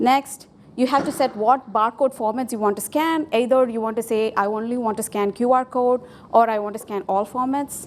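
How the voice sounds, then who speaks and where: A woman speaks at a high pitch with a Tamil accent. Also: fairly even intonation, moderate pace. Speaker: software developer, conference speaker. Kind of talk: conference tech talk with live demo. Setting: stage with audience.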